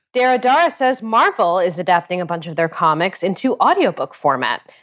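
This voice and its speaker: A woman with an American accent has a normal speaking voice at a medium pitch, moving at a fairly quick pace with lively intonation. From Connecticut, US. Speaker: podcast host. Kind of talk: casual chat. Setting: phone call recorded remotely.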